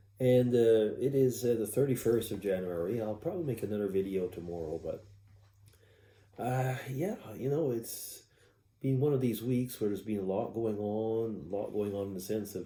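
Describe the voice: A man speaks at a moderate pace in a fairly low voice with a dark, mellow tone. Room echo is audible.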